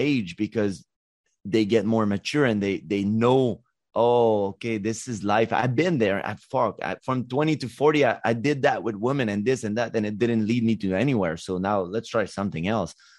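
A man with a Quebec accent speaks at a medium pitch and a moderate pace. His pitch variation is ordinary, and the background is quiet. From Quebec, Montreal. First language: French. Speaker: life coach. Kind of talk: interview. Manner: halting.

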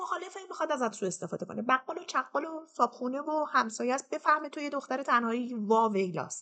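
A woman's raised, projected voice, high in pitch, bright and sharp in tone, with very wide pitch swings. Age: 40s. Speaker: storyteller sharing personal trauma. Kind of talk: personal testimony.

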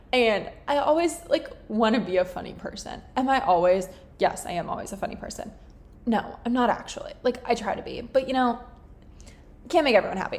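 An animated, fairly quick voice with an American accent, big swings in loudness, and noticeable background noise. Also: woman, high pitch for a woman. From Florida. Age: 20s. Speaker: podcast host. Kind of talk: casual chat.

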